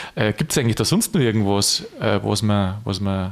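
This man has a fairly low pitch and fairly even intonation. He speaks at a moderate pace. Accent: Lower Bavarian. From Lower Bavaria. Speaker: podcast host. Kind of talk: casual chat.

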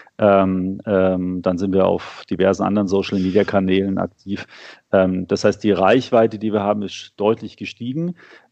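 A man speaks at a fairly low pitch. His intonation is flat and monotone. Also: moderate pace. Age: 40s. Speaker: financial magazine publisher. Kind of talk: interview. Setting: remote call from home office. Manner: hesitant, many filler sounds.

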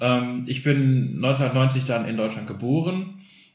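Audible room echo surrounds a man's somewhat breathy, medium-pitched voice. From Germany, Bielefeld area (Kosovo-Albanian parents). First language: Albanian (speaking German). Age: 30s. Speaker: teacher. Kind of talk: casual chat. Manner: very clear articulation.

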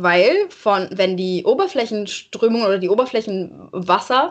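A woman talks at a very slow pace. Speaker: marine science student podcaster. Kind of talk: casual educational chat. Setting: in-person recording.

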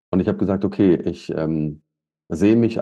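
A man talks at a moderate pace in a dark, mellow tone, his intonation lively. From Taunus, Hesse, Germany. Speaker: leadership coach and driving instructor. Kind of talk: interview.

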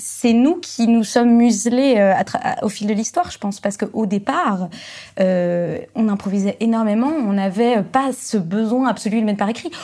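A woman speaks in a dark, mellow, somewhat breathy tone with ordinary pitch variation. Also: very clean recording, silent background. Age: 20s. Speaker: actress and musicologist, classical music video creator. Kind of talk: casual chat.

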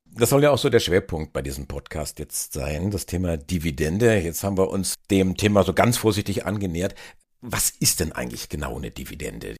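A man with a very deep, low pitch and vocal fry talks at a fairly quick pace with very wide pitch swings. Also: very clean recording, silent background. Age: 50s. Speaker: podcast host. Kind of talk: interview.

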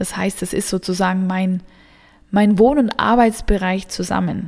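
The delivery moves at a fairly slow pace. Its intonation is fairly even. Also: woman. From southern Germany. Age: 30s. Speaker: energy work coach. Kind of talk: podcast monologue. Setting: home studio.

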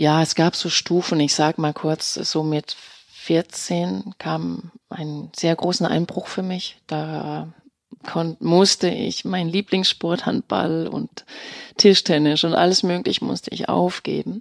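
Talking at a very slow pace, a woman has a Danish accent. The sound is dry and close, with no echo. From Denmark. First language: Danish (speaking German). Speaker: actress and voice artist. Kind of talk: interview. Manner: hesitant with fillers.

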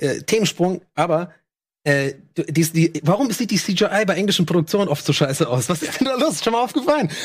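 This man has a high pitch and an animated tone. His intonation is lively, and he keeps a fairly quick pace. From Ireland. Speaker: podcast co-host. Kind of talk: casual chat.

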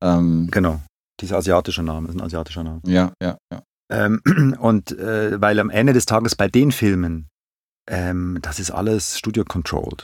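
A man's very deep, low voice carries ordinary pitch variation on a very clean recording with a silent background. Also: moderate pace. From Switzerland, Zurich. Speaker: film and TV director. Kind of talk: casual interview.

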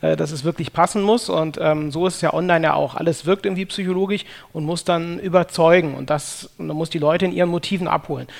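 Intonation stays fairly even as the words come out very fast. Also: man, high pitch for a man. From Germany, Cologne. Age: 30s. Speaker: sales psychology consultant. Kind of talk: interview.

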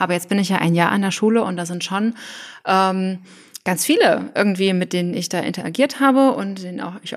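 A woman talks at a moderate pace. Her medium pitch moves with ordinary variation. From Thuringia, Germany. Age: 20s. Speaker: trainee teacher and novelist. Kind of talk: casual chat.

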